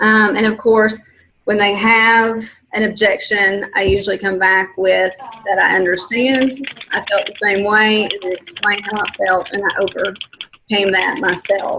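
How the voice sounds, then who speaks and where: Fairly slow and with fairly even intonation, this is a normal speaking voice. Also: woman, medium pitch for a woman. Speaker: fitness coach leading a team call. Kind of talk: coaching conference call.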